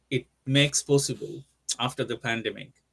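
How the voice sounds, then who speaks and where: A man speaks with a Bengali accent at a moderate pace. The recording is dry and close with no echo. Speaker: company CEO, co-host. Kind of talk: webinar discussion. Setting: live online webinar. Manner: halting, many fillers.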